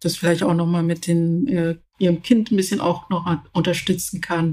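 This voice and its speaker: Intonation remains fairly even. The voice has a dark, mellow tone. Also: woman. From Zambia, rural village until age 10, then Berlin. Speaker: leadership expert and project management director. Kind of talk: interview. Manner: hesitant, with many fillers.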